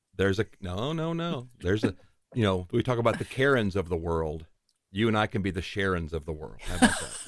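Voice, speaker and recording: Lively intonation from a man with a fairly low pitch and a slight Southern US accent. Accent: slight Southern drawl. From Tennessee. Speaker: voice-over producer. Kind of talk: interview podcast.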